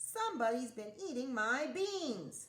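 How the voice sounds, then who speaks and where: Growling at a fairly slow pace, the speaker uses a put-on character voice. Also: woman. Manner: growling, angry.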